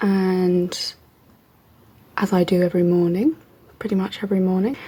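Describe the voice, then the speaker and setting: A woman's somewhat breathy voice, medium in pitch, with a dark, mellow tone and a moderate pace. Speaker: PhD student vlogger. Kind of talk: vlog. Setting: at home.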